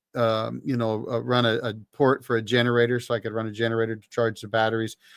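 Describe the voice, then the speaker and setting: With a Canadian accent, a man speaks at medium pitch and a fairly quick pace in a dry, close sound with no echo. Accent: Canadian, noticeable on certain words. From British Columbia, Canada. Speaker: livestream host, ex-Marine talking off-grid power. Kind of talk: casual livestream chat. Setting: solo livestream. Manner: conversational, with fillers and restarts.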